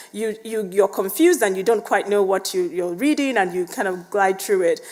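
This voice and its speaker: A woman's fairly quick speech with very wide pitch swings over noticeable background noise. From Nigeria. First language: Igbo or other Nigerian language, English second. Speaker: biomedical scientist and lecturer. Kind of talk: lecture.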